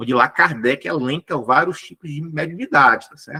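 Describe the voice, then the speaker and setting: Talking at a fairly quick pace, a man with a bright, sharp tone uses ordinary pitch variation in a dry, close sound with no echo. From Brazil, Ceará (Fortaleza). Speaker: spiritist lecturer. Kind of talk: lecture. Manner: fast.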